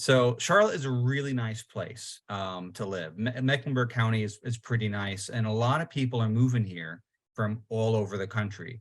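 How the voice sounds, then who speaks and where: A New York accent at a moderate pace, with ordinary pitch variation and hardly any pauses. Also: man, medium pitch for a man. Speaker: local party chairman, panelist. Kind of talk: podcast panel discussion.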